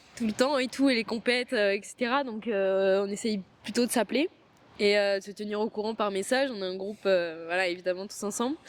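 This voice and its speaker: Fairly quick female speech, pitch varying in an ordinary way. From France, Provence. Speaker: athlete. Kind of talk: interview. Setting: sports training centre.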